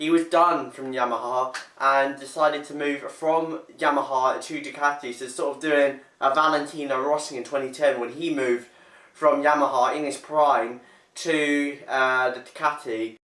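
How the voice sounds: A man's bright, sharp tone with fairly even intonation and audible room echo. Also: medium pitch for a man, fairly slow pace.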